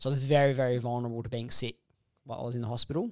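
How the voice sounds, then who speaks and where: A man speaks at a very fast pace in an Australian accent, his intonation monotone and flat. The sound is dry and close, with no echo. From Perth, Western Australia. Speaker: heart transplant recipient. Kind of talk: interview, personal story. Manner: halting, many fillers.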